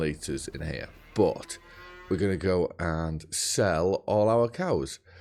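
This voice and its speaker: A man speaks with a very deep, low pitch. Music is heard in the background. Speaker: gaming YouTuber. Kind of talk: gameplay commentary. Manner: casual, chatty.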